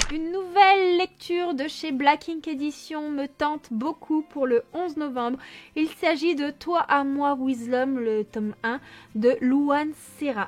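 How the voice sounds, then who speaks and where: A put-on character voice, mumbling at a fairly slow pace. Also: woman, high pitch for a woman. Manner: mumbling, slightly stumbling speech.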